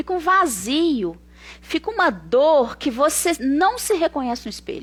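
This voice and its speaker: Here is a woman with an animated tone. Her pitch swings very widely. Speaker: psychotherapist. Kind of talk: live stream talk. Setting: online live stream.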